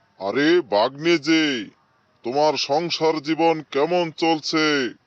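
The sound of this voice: A man puts on a cartoonish character voice with a fairly high pitch. He talks at a very slow pace over a quiet background.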